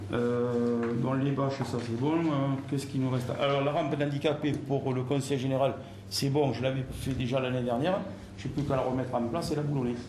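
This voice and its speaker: Fairly quick male speech at medium pitch, fairly even intonation and very even loudness, with audible room echo and noticeable background noise. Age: 60s. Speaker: club general services handyman. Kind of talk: casual work talk and staff meeting. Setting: club office meeting.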